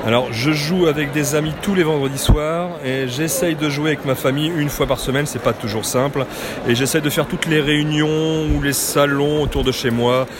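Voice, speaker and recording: Over noticeable background noise, a man talks at a fairly quick pace with fairly even intonation and a fairly high pitch. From western France, Loire-Atlantique. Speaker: board game enthusiast. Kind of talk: casual interview. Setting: board game convention.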